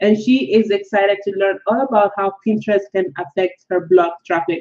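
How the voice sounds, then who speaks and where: A woman speaks at a medium pitch with a Nigerian accent. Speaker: blogger and online course creator. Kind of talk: live webinar. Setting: live-streamed webinar, currently in Colombia. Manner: casual, filler-heavy.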